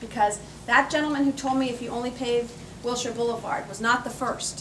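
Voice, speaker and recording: With audible room echo and noticeable background noise, a woman speaks fairly quickly in a high, flat monotone, her loudness swinging a lot. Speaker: politician. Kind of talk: campaign speech. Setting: cocktail party with audience. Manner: fast.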